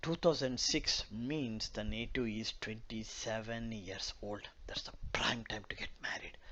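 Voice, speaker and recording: There is audible room echo as a man with a Telugu accent talks at a fairly slow pace. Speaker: astrologer. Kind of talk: lecture. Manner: halting, many fillers.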